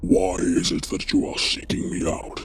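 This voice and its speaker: A man growls in a put-on character voice at a moderate pace. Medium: read story. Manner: slow, commanding.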